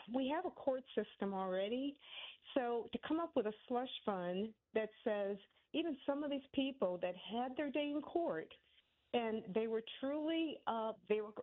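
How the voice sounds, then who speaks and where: Her voice is high-pitched with lively intonation. The woman speaks at a fairly slow pace. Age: 60s. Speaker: caller. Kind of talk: call-in opinion. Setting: phone call. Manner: halting.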